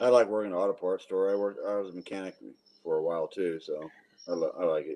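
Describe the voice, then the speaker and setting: Very fast and fairly even in intonation, a man's fairly low voice has a dark, mellow tone. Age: 60s. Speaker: caller. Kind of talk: casual chat.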